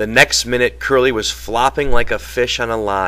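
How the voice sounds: A natural reading voice shifts pitch in an ordinary way.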